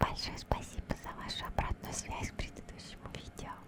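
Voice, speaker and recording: Noticeable background noise sits under a woman's whispering. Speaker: ASMR streamer and gameplay narrator. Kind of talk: casual talk to camera, ASMR let's play commentary. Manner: whispered or soft-spoken.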